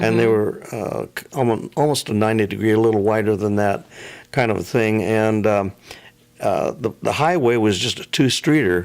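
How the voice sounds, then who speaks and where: Noticeable background noise sits behind this man. His fairly low voice shows ordinary pitch variation. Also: moderate pace. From Camas, Washington, USA. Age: 80s+. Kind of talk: interview answer, reminiscing. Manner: hesitant, halting.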